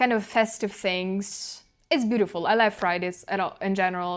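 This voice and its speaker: A woman with a Ukrainian accent, medium in pitch and fairly slow, on a very clean recording with a silent background. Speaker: channeler and intuitive guide. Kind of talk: video diary monologue. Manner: halting, self-correcting.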